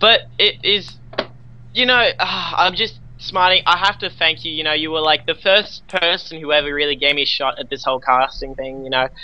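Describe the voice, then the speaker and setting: With an Australian accent, a man speaks at a fairly high pitch and a moderate pace, using lively intonation. Noticeable background noise runs underneath. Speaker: esports caster. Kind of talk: live commentary.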